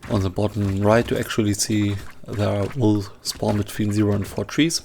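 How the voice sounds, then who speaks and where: A man's fairly low voice with a non-native accent, fairly slow pace and fairly even intonation, over noticeable background noise. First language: not English. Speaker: gaming youtuber. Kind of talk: gameplay commentary. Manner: halting, pauses mid-sentence.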